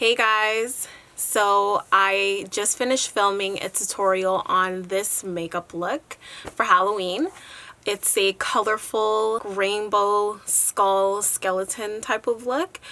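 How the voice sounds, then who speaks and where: A woman speaks at a very slow pace in a medium pitch. Her intonation stays fairly even. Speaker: makeup artist. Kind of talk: makeup tutorial voice-over.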